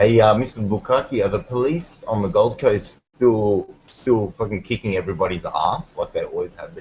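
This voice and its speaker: A man's voice in an Australian accent at a moderate pace, with big swings in loudness. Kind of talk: casual chat. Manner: animated.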